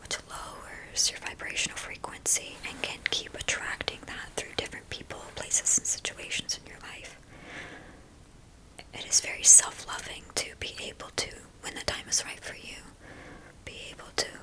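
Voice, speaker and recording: Whispering in a gentle tone, a woman shows big swings in loudness amid noticeable background noise. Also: moderate pace. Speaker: spiritual reader, healer and teacher. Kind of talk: ASMR talk therapy session, whispered spiritual talk. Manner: soft-spoken, gentle, rambling, comforting.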